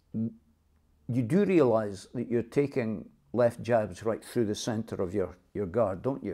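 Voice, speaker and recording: A man talks with a Dundee accent. His tone is dark and mellow against a quiet background. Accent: Scottish (Dundee). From Dundee, Scotland. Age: 70s. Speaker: boxing coach. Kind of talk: interview answer. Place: home room.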